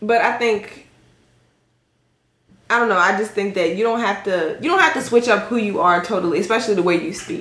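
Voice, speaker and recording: Pausing long and often, a woman of medium pitch talks at a moderate pace with ordinary pitch variation. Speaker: podcast guest. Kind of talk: casual, code-switches between slang and standard English.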